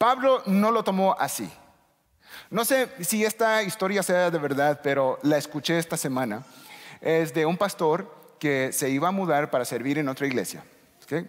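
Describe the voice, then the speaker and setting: Speaking at a fairly slow pace, a high-pitched man keeps his loudness very even while his intonation stays lively. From United States. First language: English (speaking Spanish). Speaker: pastor. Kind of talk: sermon. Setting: church.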